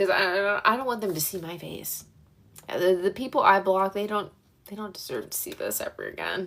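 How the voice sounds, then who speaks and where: A woman talks at a fairly quick pace in a Pennsylvania Dutch Country accent. Her loudness swings widely. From central Pennsylvania (York), moved to Florida at 13. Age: 20s. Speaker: livestreamer. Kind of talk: casual livestream chat. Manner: casual, filler-heavy.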